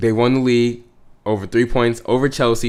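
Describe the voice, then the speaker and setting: A man speaks at a moderate pace in an animated tone, his pitch sitting in the medium range. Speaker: gaming youtuber. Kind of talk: gameplay commentary. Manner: halting, many fillers and restarts; casual, animated.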